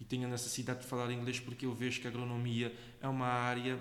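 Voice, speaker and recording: Someone with a Cape Verdean accent speaks at a very fast pace. Audible room echo and noticeable background noise fill the recording. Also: man. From Cape Verde, Santo Antão island. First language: Cape Verdean Creole (speaking Portuguese). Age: 20s. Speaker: agronomy student. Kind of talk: interview. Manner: halting, with frequent repetitions.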